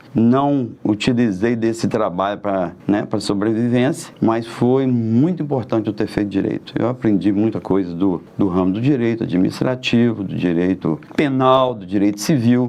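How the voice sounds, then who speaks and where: There is noticeable background noise behind this man's voice. He talks at a moderate pace with medium pitch and ordinary pitch variation. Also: hardly any pauses. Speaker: merchant and local political candidate. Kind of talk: interview, life story.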